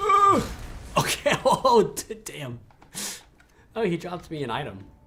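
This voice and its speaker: A man's fairly slow speech, big swings in loudness, noticeable background noise. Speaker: gaming streamer. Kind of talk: live gameplay stream. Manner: mumbling; halting.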